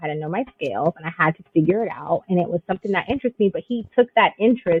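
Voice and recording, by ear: Delivered at a fast pace, the voice has a slightly husky edge and a dry, close sound with no echo. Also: woman.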